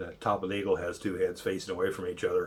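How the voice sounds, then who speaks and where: A man talks at a very fast pace, somewhat breathy. His intonation is monotone and flat. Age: 60s. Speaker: political commentary video blogger. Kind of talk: casual monologue. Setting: at home cooking while recording. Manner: rambling, with many fillers and false starts.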